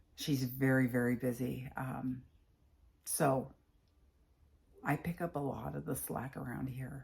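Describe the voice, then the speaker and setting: A woman at a fairly slow pace, her pitch very deep and low. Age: 60s. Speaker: patient sharing her health journey. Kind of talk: personal vlog testimony.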